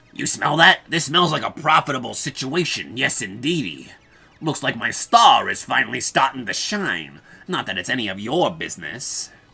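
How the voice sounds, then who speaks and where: Using a put-on character voice, a woman speaks very deep and low, with very wide pitch swings. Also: moderate pace. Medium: role play.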